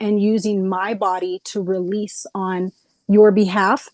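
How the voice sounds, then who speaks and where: This woman has an unremarkable speaking voice, fairly high in pitch. Her intonation stays fairly even. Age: 30s. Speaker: energy healing practitioner. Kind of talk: explanatory presentation on a video call.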